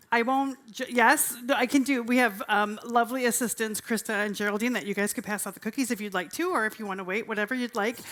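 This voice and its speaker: With an energetic tone and a fairly high pitch, a woman talks at a very fast pace with hardly any pauses and ordinary pitch variation. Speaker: vegan cooking demo presenter. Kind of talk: live cooking demo talk. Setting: stage with audience at festival. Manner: loud. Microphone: handheld mic, told to speak quieter.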